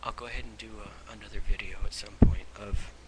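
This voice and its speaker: Someone is whispering. Noticeable background noise can be heard behind them. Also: man. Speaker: vlogger. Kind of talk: webcam monologue on faith. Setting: webcam at home. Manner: halting, repeating words.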